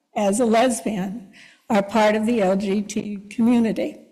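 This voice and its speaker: The tone is dark and mellow. Room echo can be heard. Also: woman. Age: 70s. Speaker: congregation member. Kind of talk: personal testimony. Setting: church service.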